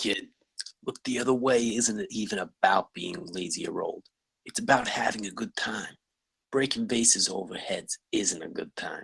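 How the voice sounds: In a put-on character voice, a man speaks at a fairly slow pace, his fairly low pitch carrying vocal fry, a husky, rough edge, a fairly bright tone and ordinary pitch variation.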